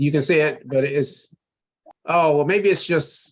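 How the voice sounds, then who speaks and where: With an ordinary speaking voice, a man talks at a fairly slow pace and a fairly high pitch. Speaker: crypto investment presenter. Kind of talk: online webinar tutorial.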